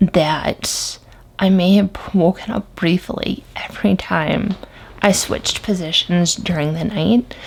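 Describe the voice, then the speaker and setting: The voice is quiet and moves at a very slow pace. Noticeable background noise sits behind it. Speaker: product reviewer. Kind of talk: product review vlog. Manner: hushed, quiet.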